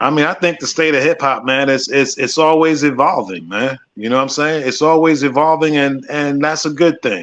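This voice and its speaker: A man with an ordinary speaking voice talks at a moderate pace, his fairly high pitch moving with ordinary variation and hardly any pauses. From Minnesota, Minneapolis. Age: 50s. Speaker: radio production manager and hip hop veteran. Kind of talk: casual interview.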